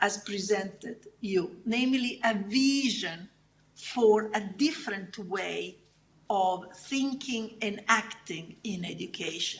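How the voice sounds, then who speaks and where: Audible room echo surrounds a woman speaking at a very slow pace. Her pitch is fairly high, and she has an Italian accent. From southern Italy. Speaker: academic researcher. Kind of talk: conference keynote lecture. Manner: halting.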